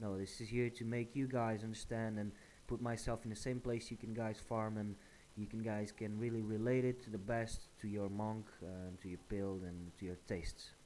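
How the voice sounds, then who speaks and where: A fairly low-pitched man at a moderate pace with fairly even intonation. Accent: Portuguese. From Portugal. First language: Portuguese. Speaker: gaming YouTuber. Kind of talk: gameplay tutorial. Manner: hesitant, many fillers.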